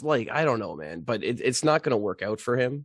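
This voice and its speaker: Vocal fry runs through a man's voice as his pitch swings very widely against a quiet background. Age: 30s. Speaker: podcast guest, Twitter personality. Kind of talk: casual chat. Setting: remote call.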